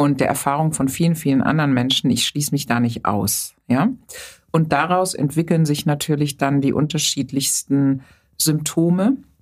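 Keeping her loudness very even, a woman speaks at a moderate pace with a very deep, low pitch. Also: ordinary pitch variation. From Germany, Rhineland near Bonn. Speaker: psychotherapist and physician. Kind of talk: interview conversation.

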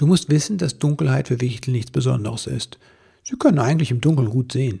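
This is a natural reading voice. The text is read in that manner throughout.

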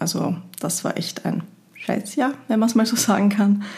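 A woman talks with an Austrian accent. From Austria, Linz (Upper Austria). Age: 30s. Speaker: podcast host, equine therapist and marketer. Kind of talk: solo podcast monologue.

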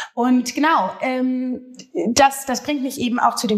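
Fairly even intonation from a woman, set against noticeable background noise. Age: 30s. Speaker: social media comedian. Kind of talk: casual chat. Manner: hesitant, many fillers.

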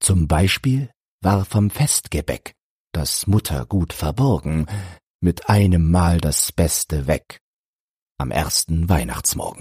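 Very slow and broken by long, frequent pauses, a man's very deep voice has a dark, mellow, somewhat breathy tone and lively intonation, recorded dry and close with no echo. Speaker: audiobook narrator. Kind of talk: poetry reading, audiobook-style verse read aloud. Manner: measured, rhythmic, storytelling cadence.

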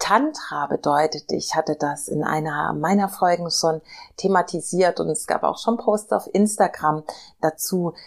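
Speaking at a very slow pace, a woman uses a soothing, calm tone, fairly low pitch and ordinary pitch variation. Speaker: podcast host and meditation guide. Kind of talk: guided meditation. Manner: slow, soft, soothing, calm pacing; gentle, warm, intimate.

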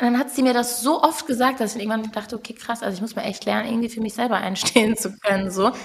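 A woman's fairly high pitch at a very fast pace, fairly even in intonation, against noticeable background noise. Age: 20s. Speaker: musician. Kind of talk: casual chat.

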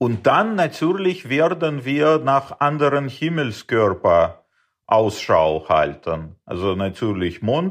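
Speaking at a very slow pace, this man has a fairly high pitch with very wide pitch swings, recorded over a quiet background. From Uzbekistan. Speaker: space startup founder. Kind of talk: interview. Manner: hesitant, many fillers.

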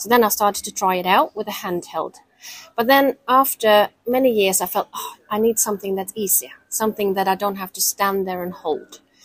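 A woman with a Norwegian accent speaks at a medium pitch and moderate pace with ordinary pitch variation. The sound is dry and close, with no echo. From Norway. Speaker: company founder and dressage rider. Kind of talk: interview.

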